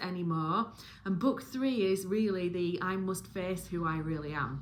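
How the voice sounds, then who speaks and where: The speech moves at a moderate pace. Noticeable background noise and audible room echo are heard. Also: woman. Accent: Yorkshire. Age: 40s. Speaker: book reviewer and spiritual content creator. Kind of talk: casual monologue review. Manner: rambling with fillers and restarts.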